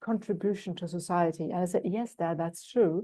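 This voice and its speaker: A woman with a German accent and fairly even intonation. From Germany. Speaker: executive coach. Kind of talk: interview. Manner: thoughtful, hesitant with fillers.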